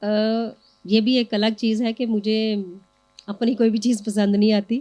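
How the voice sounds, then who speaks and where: A woman speaks with a dark, mellow tone. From Jaranwala, Pakistan. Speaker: poet. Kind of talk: interview answer.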